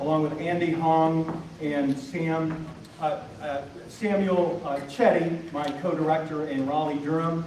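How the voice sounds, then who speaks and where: Amid noticeable background noise and audible room echo, a man with a high voice speaks at a moderate pace. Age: 60s. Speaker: tournament director. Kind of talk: awards speech. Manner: halting, many fillers.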